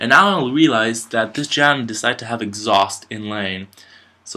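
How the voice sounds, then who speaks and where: The tone is bright and sharp. Pace is moderate, with ordinary pitch variation. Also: man. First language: French. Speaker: amateur esports caster. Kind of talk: live commentary. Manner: hesitant, many fillers.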